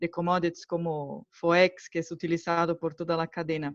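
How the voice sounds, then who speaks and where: A woman with a Brazilian accent talks fairly slowly at a fairly low pitch over a quiet background. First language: Portuguese (speaking Spanish). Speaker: market analyst asking questions. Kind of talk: audience question.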